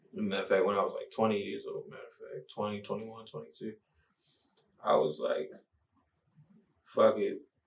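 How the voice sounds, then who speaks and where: Talking at a fairly quick pace with an American accent, a man leaves long, frequent pauses and makes big swings in loudness. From Baltimore, Maryland (US). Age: 20s. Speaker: rapper. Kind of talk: casual interview.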